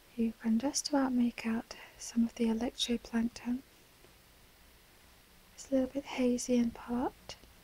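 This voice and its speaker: Soft-spoken and high-pitched, a woman with an English accent talks at a fairly slow pace in monotone, flat intonation with long, frequent pauses, the sound dry and close with no echo. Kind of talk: ASMR relaxation video.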